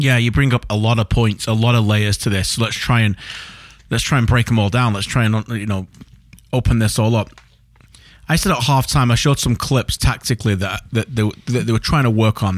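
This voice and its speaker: A man with an ordinary speaking voice and medium pitch talks at a fairly quick pace. His loudness is very even and his intonation fairly even. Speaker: podcast host and football broadcaster. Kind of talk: casual football chat podcast. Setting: studio, recorded late at night. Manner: conversational, jokey, interrupts.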